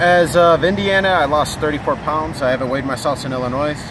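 A man speaks at a fairly quick pace with an American accent. The sound is dry with no echo, though there is noticeable background noise. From Buffalo, New York; New York. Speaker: walker crossing the country to lose weight. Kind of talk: street interview. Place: street. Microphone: phone near.

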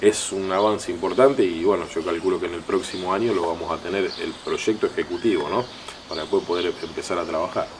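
Noticeable noise fills the background. A man's speech moves fairly quickly. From Santa Fe province, Argentina. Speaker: local mayor. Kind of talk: TV interview. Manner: halting, many fillers. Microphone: handheld.

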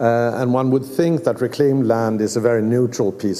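A man with a Swedish accent at a moderate pace. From Sweden. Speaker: museum director. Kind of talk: lecture. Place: hall. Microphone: podium.

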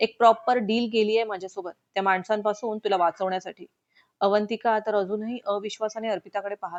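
Over a quiet background, the speaker uses a natural reading voice with fairly even intonation.

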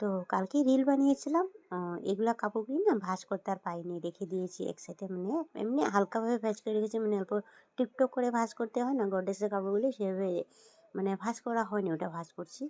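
A woman speaks fast at medium pitch with ordinary pitch variation and a slightly mellow tone, the sound dry and close with no echo.

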